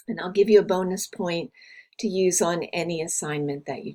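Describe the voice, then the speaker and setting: A woman speaks at a fairly slow pace with a medium pitch. Her pitch varies in an ordinary way. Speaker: university instructor. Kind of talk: course overview tutorial.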